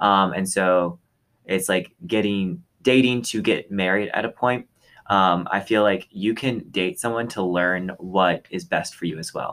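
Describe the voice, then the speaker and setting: A man with an American accent speaks in a normal speaking voice at a fairly low pitch and a fairly slow pace, his intonation fairly even, on a very clean recording with a silent background. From Texas. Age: young. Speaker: podcast co-host, college student. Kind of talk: casual chat.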